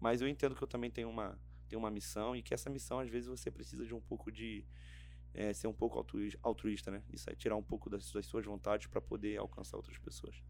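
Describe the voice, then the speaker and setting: A man talks at a very fast pace in a Rio de Janeiro accent. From Rio de Janeiro state interior, Região dos Lagos. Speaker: theology student and pastor. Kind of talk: casual interview. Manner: halting, repeats words.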